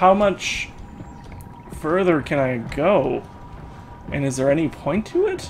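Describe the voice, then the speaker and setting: Over noticeable background noise, the speech unfolds at a very slow pace with ordinary pitch variation and long, frequent pauses. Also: man, high pitch for a man. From Canada. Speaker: gaming YouTuber. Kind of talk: let's play commentary. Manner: animated.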